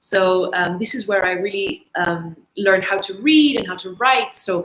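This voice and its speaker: Speaking at a moderate pace, the woman has a medium pitch. Her pitch varies in an ordinary way. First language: Dutch. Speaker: English teacher. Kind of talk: online English lesson livestream.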